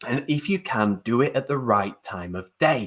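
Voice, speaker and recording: With lively intonation, a man speaks at a medium pitch in an ordinary speaking voice. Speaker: webinar host, digital marketing trainer. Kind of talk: live webinar presentation.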